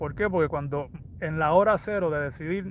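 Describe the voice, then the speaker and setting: Talking at a very fast pace, a man speaks with a high pitch and ordinary pitch variation. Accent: Puerto Rican. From Puerto Rico. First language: Spanish. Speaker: fitness coach. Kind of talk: livestream motivational talk. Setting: livestream.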